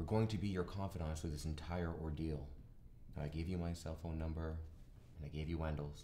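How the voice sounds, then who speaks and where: Over light background noise, a man with a very deep, low pitch and a dark, mellow tone speaks in a flat monotone, somewhat breathy and at a fairly quick pace. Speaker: lawyer in a scripted scene. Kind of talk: acted dialogue. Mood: reassuring, businesslike. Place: meeting room.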